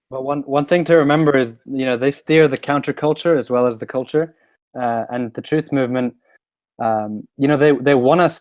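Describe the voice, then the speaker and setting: A man with a London accent speaks at a moderate pace and medium pitch, his intonation fairly even. The sound is dry and close with no echo, over a quiet background. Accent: sounds like from London. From Sweden. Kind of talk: casual chat. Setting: live stream. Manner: halting.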